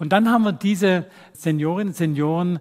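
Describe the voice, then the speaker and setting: This man has a high voice. He moves at a moderate pace with ordinary pitch variation. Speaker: professor of music physiology, musician and physician. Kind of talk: lecture. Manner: animated, demonstrates sounds by voice.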